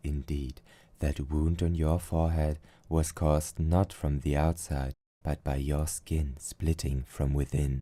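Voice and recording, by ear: A put-on character voice with a dark, mellow tone, slow pace, few pauses and little pitch movement, on a very clean recording with a silent background. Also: man, extremely low pitch for a man.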